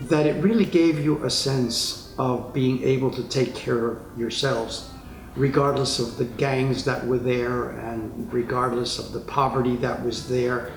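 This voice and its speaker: A man with an American accent at medium pitch, a fairly slow pace and fairly even intonation, amid audible room echo and noticeable background noise. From New York City, Spanish Harlem. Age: 80s+. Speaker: retired psychotherapist. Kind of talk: interview testimony.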